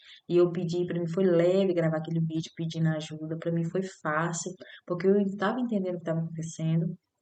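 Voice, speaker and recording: A woman with a fairly low voice talks at a fairly quick pace in a monotone, flat delivery. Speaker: spiritual vlogger. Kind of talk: personal testimony. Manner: halting.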